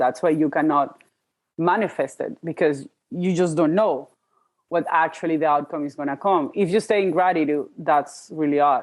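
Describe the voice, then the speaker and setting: A woman's very deep, low voice in a Spanish accent, with ordinary pitch variation. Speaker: podcast host, life coach. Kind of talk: casual interview chat. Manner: halting, self-interrupting.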